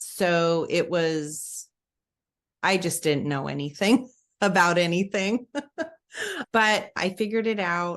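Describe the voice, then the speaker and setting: With an American accent, a woman speaks very slowly at a fairly low pitch with ordinary pitch variation, pausing long and often against a quiet background. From Alabama. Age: 40s. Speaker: mother of eight. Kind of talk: interview answer.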